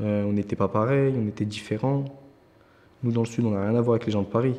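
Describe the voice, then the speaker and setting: Speaking at a very fast pace, a man with a medium pitch and a dark, mellow tone keeps fairly even intonation and very even loudness. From southern France, Nîmes. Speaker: young volunteer in a job-training programme. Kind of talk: testimony.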